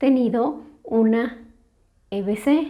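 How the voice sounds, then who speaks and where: A soft-spoken woman's voice, fairly high in pitch, dark and mellow in tone, with ordinary pitch variation. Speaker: stroke survivor, channel host. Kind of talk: testimony, answering questions. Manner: slow.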